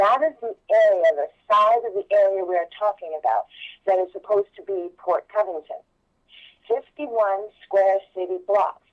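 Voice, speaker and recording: She has an unremarkable speaking voice and ordinary pitch variation. The woman's medium pitch comes at a moderate pace. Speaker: political candidate. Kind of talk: political interview.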